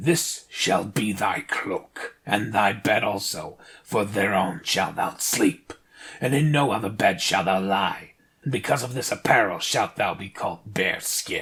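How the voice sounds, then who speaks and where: In a put-on character voice, a man sounds raspy with a fairly low pitch and a fairly slow pace. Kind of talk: archaic fairy-tale speech. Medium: read story. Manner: formal, archaic, bargaining.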